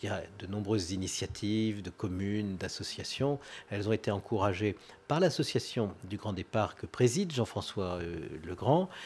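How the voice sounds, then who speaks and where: A man speaks at a moderate pace in a fairly low voice, his pitch rising and falling in an ordinary way. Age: 50s. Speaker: local politician, head of departmental council. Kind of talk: live interview. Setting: live broadcast on location. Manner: hesitant, many filler sounds. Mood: warm, nostalgic in memories. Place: studio. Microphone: studio mic.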